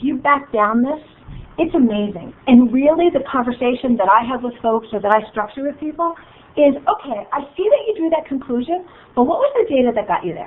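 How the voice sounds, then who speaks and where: Animated and fairly quick, a high-pitched woman speaks with very wide pitch swings over noticeable background noise. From New York area / New Jersey. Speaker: business coach and facilitator. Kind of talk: workshop presentation. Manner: fast.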